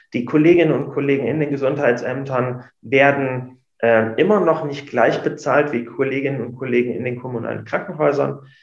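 Audible room echo surrounds the voice. The intonation stays fairly even. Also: man. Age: 30s. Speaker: emergency doctor and union official. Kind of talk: interview.

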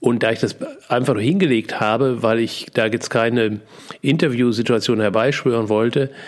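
Over noticeable background noise, a man at medium pitch talks at a moderate pace with fairly even intonation. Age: 60s. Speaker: podcast host and seminar coach. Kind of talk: personal monologue. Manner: hesitant, many fillers.

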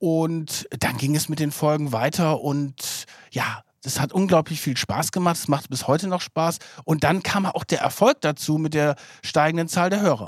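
A man's fairly high voice, fairly slow in pace, with ordinary pitch variation. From northern Germany, near Bremen. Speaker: investigative journalist, podcast co-host. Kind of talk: casual chat. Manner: energetic.

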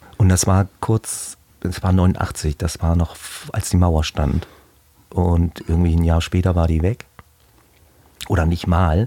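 Over noticeable background noise, a man speaks at a very slow pace with long, frequent pauses, his very deep, low voice fairly even in intonation and very even in loudness, in a dry, close sound with no echo. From Heilbronn area, Baden-Württemberg. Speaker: painter. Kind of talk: casual interview chat.

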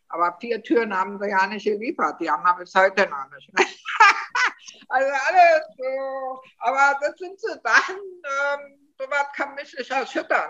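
Raising and projecting her voice, a woman with a Berlin accent speaks at a moderate pace in a bright, sharp tone, her high pitch making very wide swings. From Germany, Berlin. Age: 60s. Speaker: interviewee living abroad. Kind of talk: casual interview.

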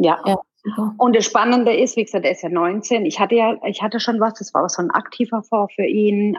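At a fairly quick pace, a woman speaks in a normal speaking voice at a medium pitch with ordinary pitch variation. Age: 50s. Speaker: relaxation educator for children, former IT employee. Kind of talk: casual interview.

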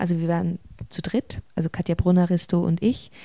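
A woman speaks with a fairly low pitch and a dark, mellow tone. The sound is dry and close, with no echo. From Switzerland, rural village. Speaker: stage actor. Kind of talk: interview.

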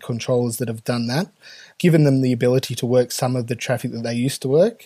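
The voice has a dark, mellow tone and an Australian accent, with ordinary pitch variation on a very clean recording with a silent background. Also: man. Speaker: air traffic controller and union president. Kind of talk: podcast interview. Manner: hesitant, many fillers.

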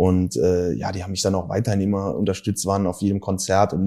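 A man speaks in a dark, mellow tone at a fairly quick pace. The recording is very clean, with a silent background. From Germany, Saarland (Saarbrücken). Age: 30s. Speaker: rapper. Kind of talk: casual interview chat.

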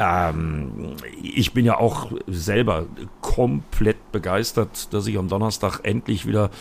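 A man speaks with a fairly low pitch and vocal fry. His intonation is lively. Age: 50s. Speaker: motorsport commentator. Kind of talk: casual chat.

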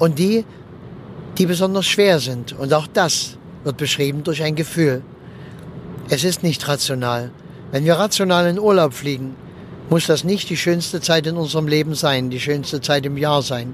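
A man's fairly high voice at a moderate pace, with ordinary pitch variation, long, frequent pauses and noticeable background noise. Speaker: funeral speaker and podcast host. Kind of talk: casual monologue. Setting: in a car.

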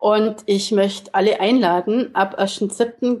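A woman speaks at a medium pitch. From Augsburg, Bavaria, Germany. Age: 50s. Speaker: life coach. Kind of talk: interview.

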